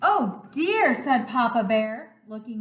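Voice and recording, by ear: The text is read aloud in a natural voice.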